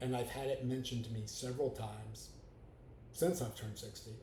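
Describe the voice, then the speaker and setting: There is audible room echo as a man with a medium-pitched, somewhat breathy voice and a dark, mellow tone talks at a fairly quick pace. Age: 60s. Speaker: podcaster, grieving widower. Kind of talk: personal monologue. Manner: hesitant with fillers.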